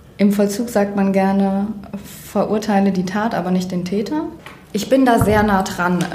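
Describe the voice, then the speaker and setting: A woman's medium-pitched voice, fairly even in intonation and fairly slow, with noticeable background noise and audible room echo. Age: 20s. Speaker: criminologist and mediator. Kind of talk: interview. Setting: makeshift room, not a studio. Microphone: far from the mic, leaning back.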